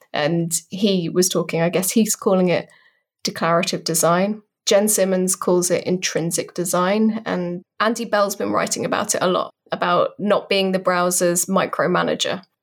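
A woman with a British accent speaks with monotone, flat intonation. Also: medium pitch for a woman, moderate pace, very clean recording, silent background. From Britain. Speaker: designer and developer advocate. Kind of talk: interview.

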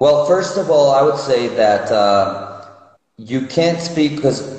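Speaking with a Spanish accent, a man keeps a moderate pace and ordinary pitch variation. Noticeable background noise and audible room echo fill the recording. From Mexico City. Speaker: psychologist, addiction counselor. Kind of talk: interview. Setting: Instagram live video call from his phone.

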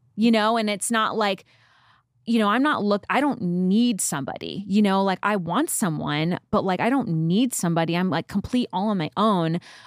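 A woman with an American accent talks at a moderate pace in a plain, everyday voice, her pitch medium with ordinary variation. The recording is very clean with a silent background, and the sound is dry and close with no echo. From New York. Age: 30s. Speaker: podcast guest. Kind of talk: casual chat.

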